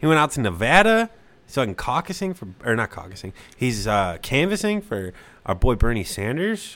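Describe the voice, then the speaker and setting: A man talks at a fairly high pitch with very wide pitch swings. His loudness swings a lot too. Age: 20s. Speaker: podcast co-host. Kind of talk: casual chat. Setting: home kitchen studio.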